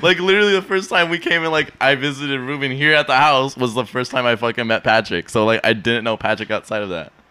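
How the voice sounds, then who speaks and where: A man's medium-pitched voice at a very fast pace with lively intonation and hardly any pauses, over noticeable background noise. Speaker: podcast host. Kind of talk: casual banter. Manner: joking, profane.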